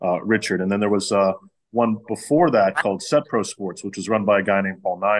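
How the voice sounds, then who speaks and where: Against a quiet background, a man with an American accent and an ordinary speaking voice talks fairly quickly at a fairly low pitch with ordinary pitch variation. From Pittsburgh, US. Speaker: facility owner and pitching coach. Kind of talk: casual interview chat.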